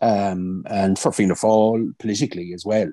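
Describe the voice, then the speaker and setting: Against a quiet background with a dry sound and no echo, a man with a Kilkenny Irish accent talks in a dark, mellow tone at a very deep, low pitch, with fairly even intonation. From Ireland. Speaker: politician. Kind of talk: casual chat. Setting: video call. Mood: warm, reflective tribute. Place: home room. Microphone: video call.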